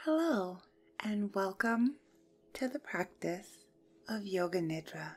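A woman's calm, soothing voice at a very slow pace, with very wide pitch swings, long and frequent pauses, and music in the background. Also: medium pitch for a woman. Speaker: yoga nidra guide. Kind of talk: guided yoga nidra meditation. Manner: slow, calm, soothing.

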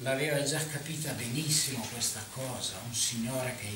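With audible room echo and noticeable background noise, a man speaks in a fairly even intonation. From Lombardy, northern Italy. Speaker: historian. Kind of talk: panel discussion. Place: hall.

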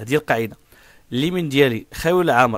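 Recorded very cleanly against a silent background with a dry, close sound and no echo, a man talks very fast at a fairly high pitch with ordinary pitch variation. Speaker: driving instructor. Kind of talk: tutorial.

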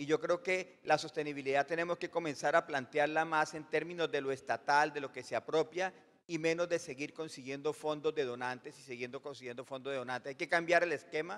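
A man with an unremarkable speaking voice, fairly high pitch, fairly even intonation and a fairly quick pace. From Colombia. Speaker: audience member asking a question; audience member. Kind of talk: audience question. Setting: conference hall with audience. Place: hall. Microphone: handheld.

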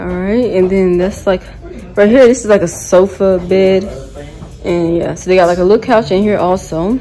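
With music in the background, the voice keeps a moderate speed and fairly even intonation. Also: woman. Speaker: vlogger. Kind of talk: casual vlog chat. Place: home room. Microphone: phone near.

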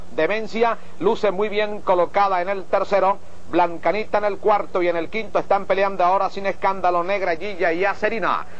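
A man speaks at a fairly quick pace with a high pitch. His intonation is monotone and flat. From Venezuela. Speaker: horse race announcer. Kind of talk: live horse race commentary, 1980 archive call.

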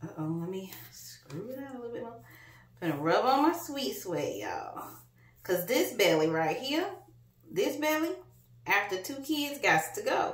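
Big pitch swings mark a woman's fairly high voice. She goes at a fairly slow pace, with long, frequent pauses.

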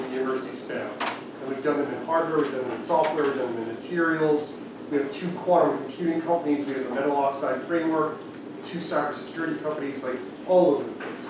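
There is noticeable background noise and strong room echo as a man talks with fairly even intonation. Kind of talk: presentation talk. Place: meeting room.

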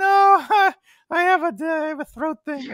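Put-on character voice, high and strained, in a very clean recording with a silent background.

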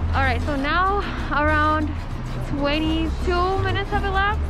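Against clear background music, a woman speaks at a moderate pace in a dry sound with no echo. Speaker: food vlogger. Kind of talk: casual vlog chat. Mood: cheerful, laughing. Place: street. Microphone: phone near.

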